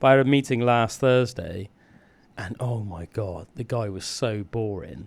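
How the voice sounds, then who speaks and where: With an English accent, the man's pitch rises and falls in an ordinary way. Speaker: podcast and radio host. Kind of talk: casual chat.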